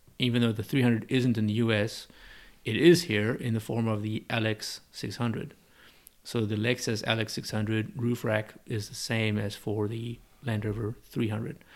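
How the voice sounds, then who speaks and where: In a South African accent, a man speaks at a moderate pace and a medium pitch with fairly even intonation, recorded very cleanly against a silent background. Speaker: business owner and importer. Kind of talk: casual interview. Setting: in-person conversation.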